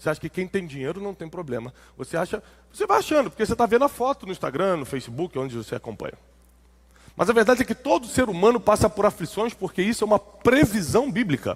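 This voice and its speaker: A man at a high pitch, talking at a very fast pace with very wide pitch swings. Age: 40s. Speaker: preacher. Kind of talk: sermon.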